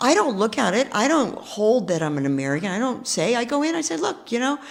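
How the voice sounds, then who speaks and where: Very fast and fairly high, a woman's voice carries vocal fry and very wide pitch swings. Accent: New York. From New York. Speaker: real estate investor. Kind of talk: interview.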